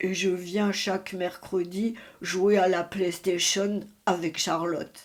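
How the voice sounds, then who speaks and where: Using a put-on character voice, a woman speaks at a medium pitch and a fairly slow pace in a monotone, flat intonation. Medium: read story. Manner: hesitant, stammering.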